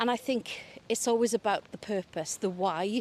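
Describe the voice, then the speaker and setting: Recorded very cleanly against a silent background, a woman in a Welsh Valleys accent sounds dry and close with no echo. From Wales, South Wales valleys. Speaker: senior broadcasting executive. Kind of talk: interview conversation. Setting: outdoors, walking in a park.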